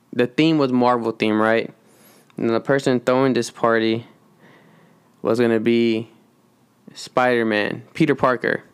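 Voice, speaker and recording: Mumbling at a fairly slow pace, a man keeps a medium pitch and a monotone, flat intonation. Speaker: podcast host. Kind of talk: casual chat.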